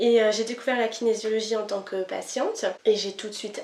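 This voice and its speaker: Here a woman talks at a fairly high pitch and a moderate pace. Her intonation stays fairly even. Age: 30s. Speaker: kinesiology practitioner. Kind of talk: interview. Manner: hesitant, many fillers.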